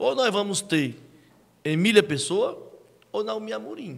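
A man speaks with a northeastern Brazilian accent. His tone is animated. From Ceará, Brazil. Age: 40s. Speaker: local reporter and politician; guest, political commentator. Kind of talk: interview. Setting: studio. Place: studio. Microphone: studio mic.

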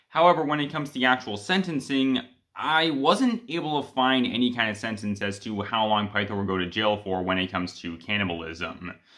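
With hardly any pauses, a man talks at a fairly quick pace against a quiet background. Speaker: fan video creator. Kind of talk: commentary. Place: home room. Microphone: phone near.

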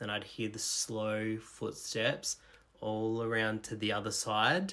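A man with an Australian accent speaks at a very slow pace, his pitch fairly low and his intonation monotone and flat. His tone is bright and sharp. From rural Australia. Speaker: storyteller. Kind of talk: personal storytelling. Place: home room. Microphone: phone near.

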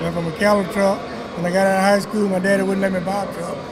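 Background noise is noticeable in this clip. The man's voice is pitched high. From Louisiana. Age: 70s. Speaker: truck driver. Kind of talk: interview answer. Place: hall. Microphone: handheld.

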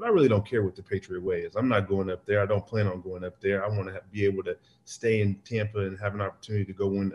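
Very fast, somewhat breathy male speech at a fairly low pitch. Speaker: remote interview guest. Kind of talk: interview answer. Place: kitchen. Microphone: video call.

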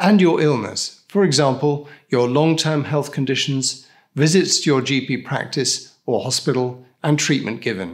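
At a fairly slow pace, a man talks with ordinary pitch variation. The background stays quiet. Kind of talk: scripted explainer. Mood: calm, reassuring. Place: studio.

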